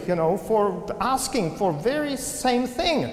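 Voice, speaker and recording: Pitch swings very widely throughout. Noticeable background noise can be heard. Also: man. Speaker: Presbyterian minister, preacher. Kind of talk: sermon delivered to a congregation.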